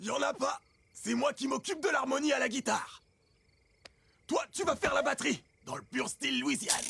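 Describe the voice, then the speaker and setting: A man puts on a character voice, raspy, raised and projected, at an extremely high pitch. He keeps a moderate pace with long, frequent pauses. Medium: dub. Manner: teasing.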